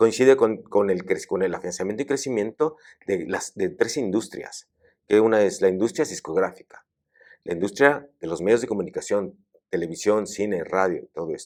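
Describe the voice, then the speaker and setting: This man talks at a moderate pace, his fairly low voice carrying lively intonation. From Mexico. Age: 60s. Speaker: academic. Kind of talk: interview conversation. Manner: halting, with many fillers and repetitions.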